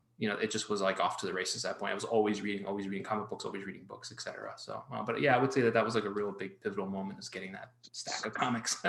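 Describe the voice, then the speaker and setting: Amid noticeable background noise, a man with a fairly low pitch talks at a very fast pace with fairly even intonation. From Miami, Florida, US (born in Colombia). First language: Spanish. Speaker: artist and children's book author. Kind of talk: interview conversation.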